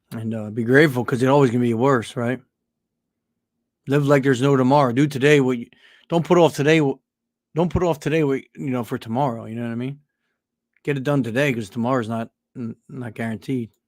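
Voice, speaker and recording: A man at medium pitch, very fast yet with long, frequent pauses, his intonation fairly even, on a very clean recording with a silent background. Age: 40s. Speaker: livestreamer on mental health. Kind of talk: casual livestream commentary. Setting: live stream.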